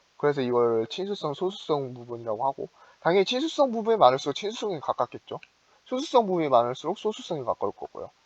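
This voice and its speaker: A man speaks with very wide pitch swings. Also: dry, close sound with no echo. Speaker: student chemistry club tutor. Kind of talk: lecture. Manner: fast; halting, many fillers.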